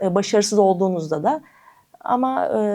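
Her intonation is lively and her tone dark and mellow. This woman speaks at a very fast pace. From Turkey, Eskişehir. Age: 30s. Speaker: para table tennis athlete. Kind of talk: interview.

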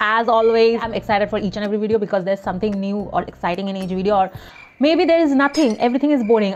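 Light background noise sits beneath speech whose pitch varies in an ordinary way. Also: woman. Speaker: beauty vlogger. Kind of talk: casual vlog chat. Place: home room. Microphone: lapel.

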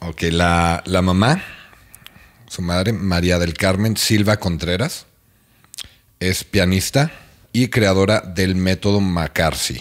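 A man with a Mexican accent speaks at a very slow pace, leaving long, frequent pauses. His very deep, low voice has ordinary pitch variation against a quiet background. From Mexico. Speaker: podcast host. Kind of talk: casual chat. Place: home room. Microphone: studio mic.

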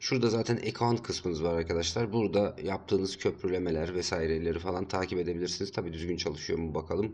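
Barely pausing at all, a man rattles along at a very fast pace. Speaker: crypto YouTuber. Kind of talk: screen-share tutorial. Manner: casual, filler-heavy.

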